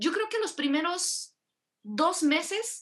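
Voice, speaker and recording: Very slowly, a woman talks with lively intonation. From Mexico. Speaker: podcast host. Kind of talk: casual chat.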